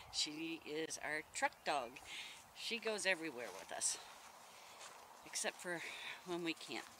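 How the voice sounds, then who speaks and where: A man speaks at a fairly slow pace with a high pitch and lively intonation. The sound is dry with no echo, and background noise is noticeable. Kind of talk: casual vlog chat. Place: open country. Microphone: phone near.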